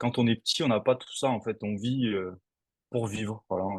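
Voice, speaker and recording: A man speaks with fairly even intonation at a moderate pace. His pitch is medium. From southern France. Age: 40s. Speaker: stuntman. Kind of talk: interview. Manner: hesitant, many fillers.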